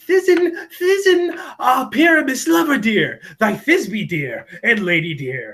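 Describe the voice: Putting on a character voice, a man slips into falsetto at an extremely high pitch. He speaks at a fairly slow pace.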